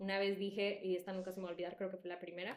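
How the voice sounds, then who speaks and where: A woman talks at a very fast pace with a medium pitch. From El Salvador. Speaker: podcast co-host. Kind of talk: casual chat. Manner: animated.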